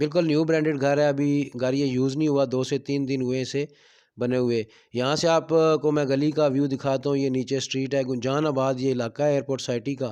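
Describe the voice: A man at a medium pitch for a man, clear, smooth and dark, mellow in tone, fairly quick, with little pitch movement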